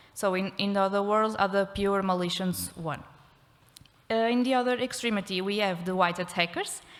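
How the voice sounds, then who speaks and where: A woman speaks at a moderate pace with fairly even intonation. Her pitch is medium. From Portugal. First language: Portuguese. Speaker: criminology researcher. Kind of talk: conference talk. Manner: halting.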